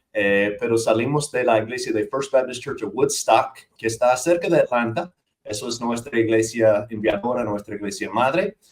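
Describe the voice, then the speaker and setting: A man with a Dominican accent talks at a medium pitch and a moderate pace, with ordinary pitch variation. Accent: American with Dominican Spanish. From US South, north Georgia mountains. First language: English (speaking Spanish). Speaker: missionary church planter and seminary teacher. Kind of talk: interview conversation.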